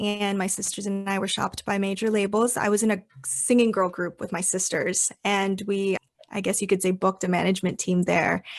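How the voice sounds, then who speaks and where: A woman with an American accent has a normal speaking voice at medium pitch. She talks at a fairly quick pace with fairly even intonation. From California, Sacramento. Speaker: actress and singer. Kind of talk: podcast interview. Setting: remote call.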